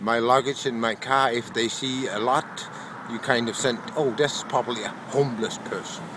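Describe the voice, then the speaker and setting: Over noticeable background noise, a man with a Danish accent speaks at a fairly slow pace and medium pitch, with ordinary pitch variation. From Denmark. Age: 60s. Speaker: homeless man. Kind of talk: interview testimony.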